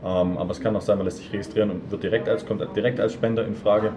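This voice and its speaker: Noticeable background noise and audible room echo surround a man's fairly low voice. He talks at a very fast pace with ordinary pitch variation. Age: 20s. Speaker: student association board member. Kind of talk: interview. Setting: café.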